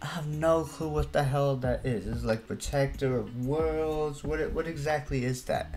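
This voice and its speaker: A man's voice over clear background music. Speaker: reaction streamer. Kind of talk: casual reaction commentary. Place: home room. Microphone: webcam.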